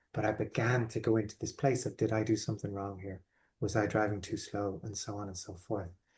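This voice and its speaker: A man with an Irish accent talks in a fairly low, somewhat breathy voice. His intonation is flat and monotone over a quiet background. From Ireland. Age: 40s. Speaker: life coach. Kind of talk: online workshop talk. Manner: hesitant with repetitions.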